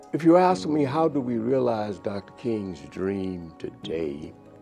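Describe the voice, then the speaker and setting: Faint background music accompanies a man with an American accent speaking at a very slow pace. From US South. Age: 80s+. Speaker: pastor. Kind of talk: interview reminiscence. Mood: reflective, earnest. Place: office. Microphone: lapel.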